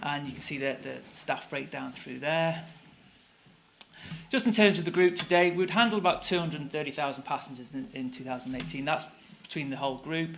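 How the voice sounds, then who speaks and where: Fairly quick speech from a man with a fairly high pitch and a Manchester accent, plus audible room echo. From northern England, Manchester. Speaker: tour company operations director. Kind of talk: conference presentation.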